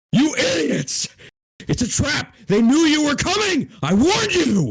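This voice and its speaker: A man uses a put-on character voice pitched extremely high. He speaks at a fairly slow pace with very wide pitch swings. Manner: shouting, alarmed.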